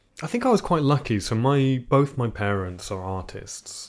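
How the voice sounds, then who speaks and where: A man speaks with a British accent. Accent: fairly convincing British. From Iceland, raised in England from age six. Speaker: composer and sound designer. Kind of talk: casual chat. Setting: in person. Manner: halting.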